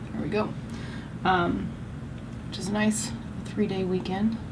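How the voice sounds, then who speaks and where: A woman with a Canadian accent speaks at a medium pitch and a fairly quick pace in an animated tone. Noticeable background noise and audible room echo surround her. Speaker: beauty vlogger. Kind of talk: makeup tutorial chat. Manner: loud; casual, animated.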